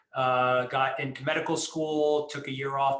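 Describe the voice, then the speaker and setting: Fairly high-pitched male voice with fairly even intonation, noticeable background noise behind it. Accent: American. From New York, Long Island. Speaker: emergency medicine professor and researcher. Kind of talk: interview.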